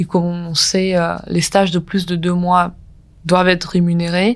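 The woman speaking has a fairly low pitch. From Ukraine. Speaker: recent graduate. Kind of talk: testimony. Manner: halting.

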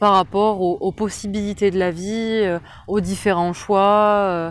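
A woman at a fairly slow pace in a very clean recording with a silent background. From southwest France (Tarn-et-Garonne). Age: 20s. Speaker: interviewee. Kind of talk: personal testimony. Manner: hesitant, many fillers.

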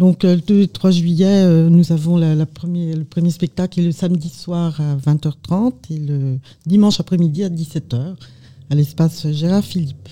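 This woman has a dark, mellow tone and a fairly low, somewhat breathy voice with a slight Burgundy accent. Her intonation stays fairly even at a fairly slow pace. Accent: slight Burgundy accent, stressed A sounds. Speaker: amateur actress. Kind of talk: radio interview.

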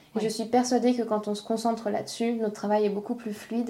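A woman talks at a very fast pace with a fairly high pitch and monotone, flat intonation. Background noise is noticeable. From France. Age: 20s. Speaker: school childcare coordinator. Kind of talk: casual chat.

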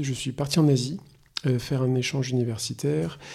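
A man's somewhat breathy voice at medium pitch, with a dark, mellow tone and ordinary pitch variation. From France, Poitou region. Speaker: perfume house founder. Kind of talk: interview. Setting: office. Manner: halting.

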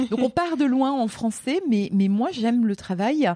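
With a dark, mellow tone and lively intonation, a woman speaks at a moderate pace in a dry, close sound with no echo. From France, Lorraine. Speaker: teacher and speaker. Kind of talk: interview. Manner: hesitant, many fillers.

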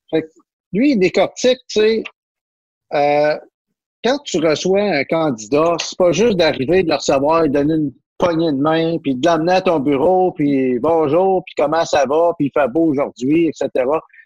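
A fairly high-pitched man with a Quebec accent, ordinary pitch variation and a fairly slow pace, in a dry, close sound with no echo. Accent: Québécois French. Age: 50s. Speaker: business journalist. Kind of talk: casual chat.

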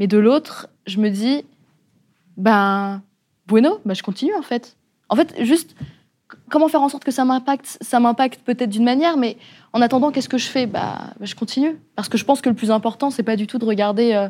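Her voice is high in pitch with a dark, mellow tone, and the woman moves at a moderate pace broken by long, frequent pauses. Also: ordinary pitch variation. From France, Le Mans (Sarthe). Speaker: podcaster. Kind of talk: panel discussion.

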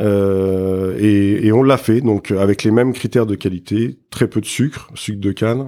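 A man's dark, mellow tone with fairly even intonation, on a very clean recording with a silent background. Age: 40s. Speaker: spirits brand co-founder. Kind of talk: interview. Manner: halting, many fillers and repetitions.

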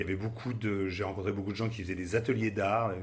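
A man talks at a very fast pace. His fairly low voice is somewhat breathy. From Paris, France. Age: 50s. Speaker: advertising agency director. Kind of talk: interview. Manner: hesitant, many fillers and repetitions.

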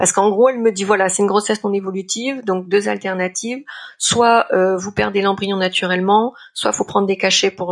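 A woman talks at a fairly quick pace in a plain, everyday voice. Her pitch is medium and her intonation fairly even. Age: 40s. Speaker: freelance art director and writer sharing a personal story. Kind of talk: personal testimony.

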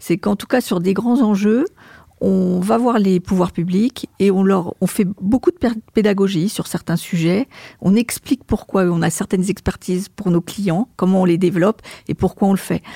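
Her voice is dark and mellow at a medium pitch, with ordinary pitch variation and a moderate pace, recorded with a dry, close sound with no echo. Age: 60s. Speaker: marketing and communications director. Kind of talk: interview. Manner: hesitant, repeats words.

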